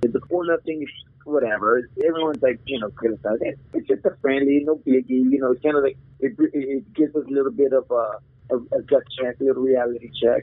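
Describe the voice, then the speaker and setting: A man with a normal speaking voice in an American accent, fairly high in pitch with ordinary pitch variation. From Arizona, US-Mexico border (Nogales). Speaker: real estate agent and football superfan. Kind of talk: casual chat.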